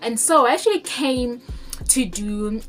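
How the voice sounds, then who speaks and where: Over music in the background, a woman speaks at a fairly high pitch with lively intonation. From South Africa. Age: 20s. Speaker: law student. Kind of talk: casual talk to camera.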